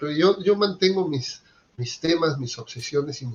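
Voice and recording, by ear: A man with a Peruvian accent, at a moderate pace.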